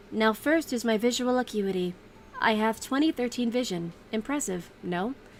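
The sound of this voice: A robotic, put-on character voice at a moderate pace, with clear background noise. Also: woman, fairly high pitch for a woman.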